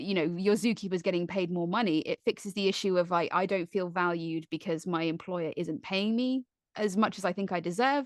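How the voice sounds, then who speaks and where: A fairly quick delivery with hardly any pauses and ordinary pitch variation, in a southern English accent, dry and close with no echo over a quiet background. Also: woman, medium pitch for a woman. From Surrey, England. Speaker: zookeeper and wildlife comedienne. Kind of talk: interview answer.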